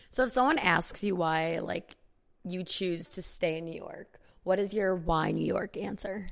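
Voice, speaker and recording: Speaking with an American accent and vocal fry, a woman uses a medium pitch and an animated tone at a fairly slow pace. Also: ordinary pitch variation. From Chicago area, US Midwest. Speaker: podcast host. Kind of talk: casual chat between friends. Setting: recording at home, on apartment floor. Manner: animated, laughs often.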